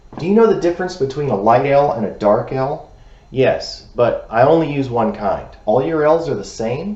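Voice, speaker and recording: A man with an American accent speaks at a moderate pace, and his fairly high pitch carries lively intonation. Noticeable background noise is present. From United States. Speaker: English teacher. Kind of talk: pronunciation lesson to camera.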